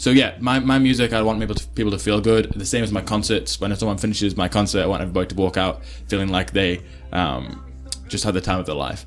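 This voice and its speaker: With music in the background, a man speaks in a Potteries accent at a very fast pace. His very deep, low pitch makes very wide swings. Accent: English Midlands (Potteries). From England, Stoke-on-Trent. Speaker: pop singer-songwriter. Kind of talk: interview.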